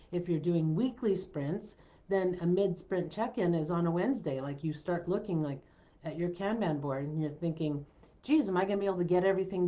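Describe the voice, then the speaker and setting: This is a plain, everyday voice. A woman talks at a fairly quick pace with a fairly low pitch and ordinary pitch variation. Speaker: business coach. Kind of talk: live stream talk. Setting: live stream.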